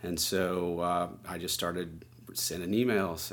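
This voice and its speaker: A man talks with a very deep, low pitch and fairly even intonation. Audible room echo surrounds his voice. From New Orleans, Louisiana. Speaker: environmental nonprofit director. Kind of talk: interview.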